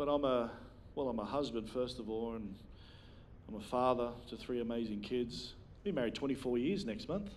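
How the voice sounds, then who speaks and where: Long, frequent pauses and ordinary pitch variation mark this delivery, with audible room echo. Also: man, medium pitch for a man, moderate pace. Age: 40s. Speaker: preacher. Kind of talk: sermon.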